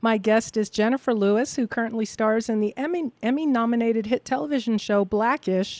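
A woman with a plain, everyday voice talks at a fairly quick pace with hardly any pauses, at a fairly high pitch with ordinary pitch variation. Her loudness stays very even, and the sound is dry and close with no echo. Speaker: radio host. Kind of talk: radio interview.

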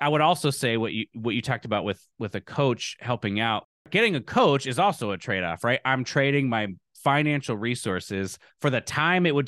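A man with an American accent and an unremarkable speaking voice talks at a moderate pace with lively intonation, the sound dry and close with no echo against a quiet background. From US Midwest (Lincoln, Nebraska). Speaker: orchestral trumpeter and powerlifter. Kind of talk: casual interview.

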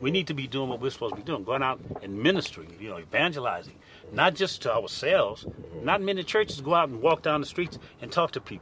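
A man with a Louisiana accent talks at a very fast pace in a fairly high pitch, with very wide pitch swings and big swings in loudness over noticeable background noise. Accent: Louisiana Southern US. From US South, Lake Charles, Louisiana. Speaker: minister. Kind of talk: panel discussion.

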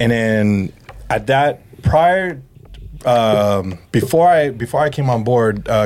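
This man has a Californian accent and a medium pitch. He speaks at a fairly slow pace. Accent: Californian American English. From San Francisco Bay Area. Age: 40s. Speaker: graphic artist. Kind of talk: casual chat.

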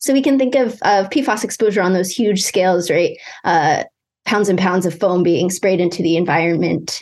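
A plain, everyday voice, this woman speaks with an American accent at a medium pitch and a moderate pace. Her loudness is very even and her pitch variation ordinary. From western Pennsylvania. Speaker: environmental toxicologist. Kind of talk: interview.

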